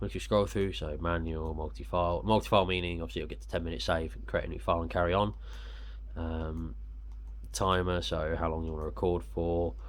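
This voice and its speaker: A man with a British accent talks at a fairly quick pace in a very deep, low pitch with vocal fry. His pitch swings very widely. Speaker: action camera reviewer. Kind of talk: casual unboxing talk to camera.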